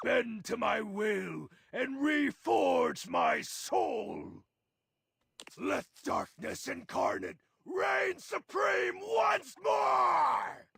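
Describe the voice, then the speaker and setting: A man's put-on character voice, raspy, at a very slow pace with very even loudness. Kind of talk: dramatic, theatrical. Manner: ominous, commanding.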